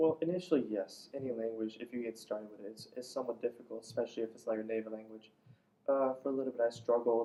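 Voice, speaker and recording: Very fast, medium-pitched male speech in an Iranian accent, with big swings in loudness and fairly even intonation. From Iran, Isfahan. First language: Farsi. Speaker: immigrant interviewee. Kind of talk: interview.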